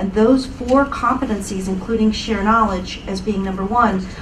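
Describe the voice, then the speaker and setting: Intonation stays fairly even. Room echo is audible, and background noise is noticeable. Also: woman. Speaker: panelist, knowledge management practitioner. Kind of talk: panel discussion. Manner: fast.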